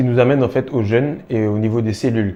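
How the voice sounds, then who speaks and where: At a very fast pace, a man speaks in a dark, mellow tone with fairly even intonation. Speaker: self-improvement video creator. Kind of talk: monologue to camera. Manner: hesitant, many fillers.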